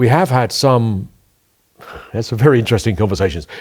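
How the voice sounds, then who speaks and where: A man talks at a very fast pace at a medium pitch. His pitch swings very widely, and vocal fry comes through. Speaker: leader of a small political party. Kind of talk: casual interview chat.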